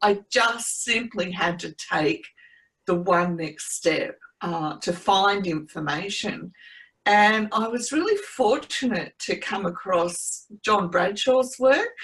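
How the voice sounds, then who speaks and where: A woman with an Australian accent, medium in pitch, at a very slow pace. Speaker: trauma recovery coach. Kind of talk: interview testimony.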